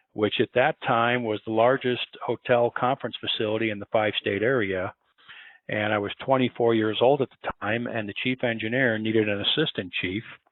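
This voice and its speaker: With an American accent, a man in an ordinary speaking voice talks at a moderate pace with fairly even intonation. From Chicago, US Midwest. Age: 60s. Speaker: building engineering consultant. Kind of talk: interview.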